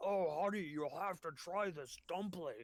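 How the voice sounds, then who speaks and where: A man's high-pitched, put-on character voice keeps a moderate pace. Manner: muffled, chewing.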